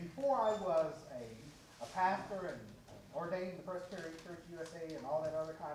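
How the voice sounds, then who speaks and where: A man with a fairly high pitch speaks at a moderate pace amid noticeable background noise and audible room echo. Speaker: pastor. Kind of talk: lecture. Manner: loud.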